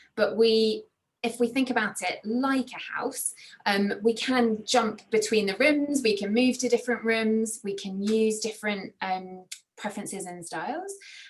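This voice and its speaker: A woman with a fairly high pitch and a somewhat breathy voice speaks at a fairly slow pace with fairly even intonation. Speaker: workshop facilitator. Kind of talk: online training session. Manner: hesitant fillers.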